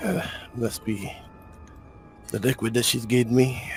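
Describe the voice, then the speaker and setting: A raspy, put-on character voice from a man at medium pitch and moderate pace, with clear music in the background. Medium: actual play.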